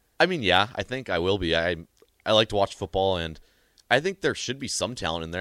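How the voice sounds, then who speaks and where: A man speaks at a very fast pace. The recording is very clean, with a silent background and a dry, close sound with no echo. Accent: Upper Midwest. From North Dakota, small town. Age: young. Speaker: student radio host. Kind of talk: casual sports talk.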